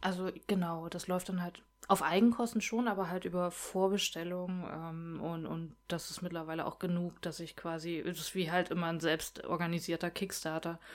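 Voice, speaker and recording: A woman's fairly low voice with monotone, flat intonation. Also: moderate pace. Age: 30s. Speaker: comic artist. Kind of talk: casual chat.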